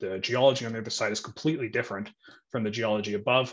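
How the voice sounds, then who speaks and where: A man's very fast delivery with ordinary pitch variation. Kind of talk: interview answer explaining screen share. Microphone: video call.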